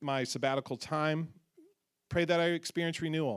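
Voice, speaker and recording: A man with an unremarkable speaking voice talks at a moderate pace and a fairly high pitch, his intonation fairly even. The recording is very clean, with a silent background. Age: 40s. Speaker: pastor. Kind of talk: church announcement. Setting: church.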